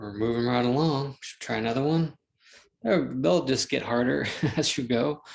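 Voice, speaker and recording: A man speaks in a normal speaking voice at a medium pitch. His pace is moderate. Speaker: math teacher. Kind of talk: lecture. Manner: casual, thinking aloud.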